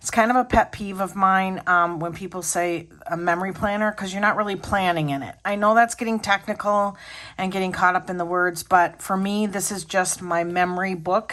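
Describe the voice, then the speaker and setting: A plain, everyday voice from a woman at medium pitch, fairly even intonation, a moderate pace with hardly any pauses, on a very clean recording with a silent background. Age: 60s. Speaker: planner hobby youtuber. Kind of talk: casual tutorial vlog. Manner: conversational with fillers.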